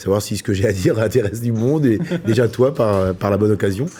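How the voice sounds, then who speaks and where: A man speaks at a moderate pace with ordinary pitch variation. Noticeable background noise sits behind him. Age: 40s. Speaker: chef and restaurant owner. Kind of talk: interview answer.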